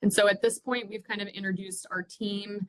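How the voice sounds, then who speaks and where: A woman's voice comes through in a bright, sharp tone, the sound dry and close with no echo. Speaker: university orientation director. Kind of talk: staff training presentation. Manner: fast.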